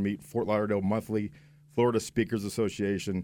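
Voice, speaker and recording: A man speaks at a fairly quick pace in a normal speaking voice with medium pitch, on a very clean recording with a silent background. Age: 50s. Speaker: business coach. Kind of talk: radio interview. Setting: radio studio.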